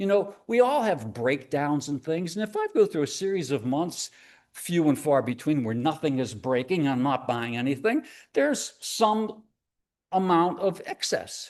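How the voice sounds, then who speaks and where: Against a quiet background, a man talks at a moderate pace. His fairly high voice swings very widely in pitch. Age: 70s. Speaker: presenter on scams for seniors. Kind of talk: live presentation. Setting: church hall with live audience.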